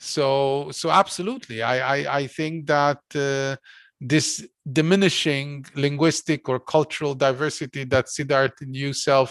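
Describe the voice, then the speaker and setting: The speaker has a Hungarian accent and talks at a fairly slow pace. The background is quiet. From Hungary. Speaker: philosopher and course lecturer. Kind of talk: academic lecture discussion. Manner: hesitant, many fillers.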